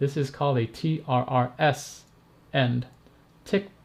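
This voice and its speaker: A man speaks with a medium pitch. His voice is somewhat breathy. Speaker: tech reviewer and streamer. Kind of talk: live stream tutorial. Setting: live stream. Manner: animated.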